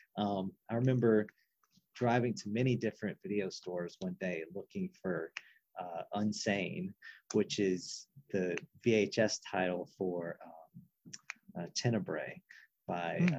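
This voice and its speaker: A normal speaking voice from a man, fairly low and fairly slow, with ordinary pitch variation in a dry, close sound with no echo. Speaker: guest, horror film fan, academic advisor. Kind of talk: casual chat.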